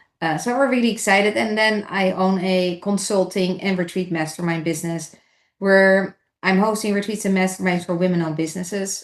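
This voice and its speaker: Over a quiet background, a woman speaks in a Dutch accent at a fairly quick pace with fairly even intonation. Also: medium pitch for a woman. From Netherlands. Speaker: entrepreneur. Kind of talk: podcast interview.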